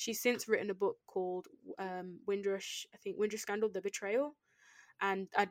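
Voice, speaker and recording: With a British accent, a woman speaks at a medium pitch in a dry, close sound with no echo. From England. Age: 20s. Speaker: guest educator. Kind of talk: educational chat. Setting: remote recording with own microphones.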